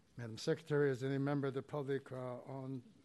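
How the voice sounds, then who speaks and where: Flat, monotone intonation marks this man's medium-pitched voice as he talks at a fairly quick pace. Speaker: commission president. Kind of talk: chairing a public meeting. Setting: public commission meeting room. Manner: halting.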